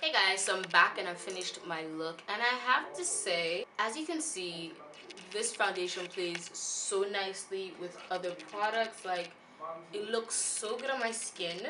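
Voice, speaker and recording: Over noticeable background noise and audible room echo, a woman of medium pitch speaks at a fairly slow pace with ordinary pitch variation. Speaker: beauty vlogger. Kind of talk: product review vlog. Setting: at a bridal shower.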